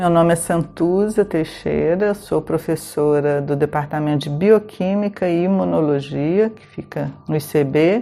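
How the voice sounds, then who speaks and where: The tone is dark and mellow, delivered at a fairly slow pace with hardly any pauses. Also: woman, very deep, low pitch for a woman, ordinary pitch variation. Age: 60s. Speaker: professor. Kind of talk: documentary interview.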